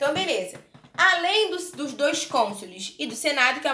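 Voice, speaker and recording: A woman speaks with a Brazilian accent in a raised, projected voice. Room echo is audible. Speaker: history teacher. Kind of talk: online lecture. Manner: casual, conversational.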